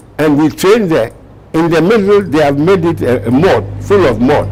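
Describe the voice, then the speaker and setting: There is noticeable background noise as a man speaks at a fairly slow pace, his fairly high voice carrying lively intonation. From Ghana. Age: 80s+. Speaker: war veteran. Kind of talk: interview answer.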